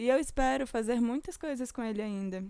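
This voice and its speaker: On a very clean recording with a silent background, a woman with an ordinary speaking voice talks at a fairly quick pace, fairly high in pitch, with lively intonation. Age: 20s. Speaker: podcast host and music student. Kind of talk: personal monologue.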